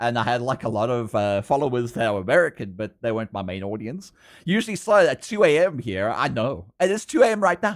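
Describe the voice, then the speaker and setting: A man talks with hardly any pauses, his pitch swinging very widely. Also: medium pitch for a man, very clean recording, silent background. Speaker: furry artist streamer. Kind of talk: casual livestream chat. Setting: home at night, housemates asleep. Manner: soft-spoken.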